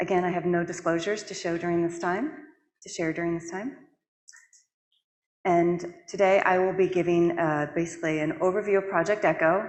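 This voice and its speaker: With audible room echo, a woman speaks in a fairly low, flat monotone, leaving long, frequent pauses. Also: fairly quick pace. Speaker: public health director, conference speaker. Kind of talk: conference presentation. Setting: stage with audience. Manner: fast when passionate.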